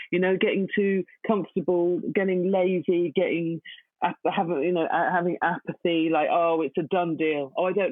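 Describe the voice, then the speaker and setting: This woman has a plain, everyday voice, fairly low in pitch, at a moderate pace with ordinary pitch variation. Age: 40s. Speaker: poet. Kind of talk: interview.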